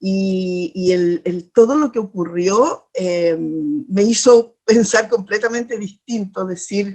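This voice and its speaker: Speaking very slowly, a woman keeps a medium pitch. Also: ordinary pitch variation. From Chile, Chiloé (Ancud). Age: 60s. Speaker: poet and teacher, constitutional candidate. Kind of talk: interview. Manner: halting, many fillers and repetitions.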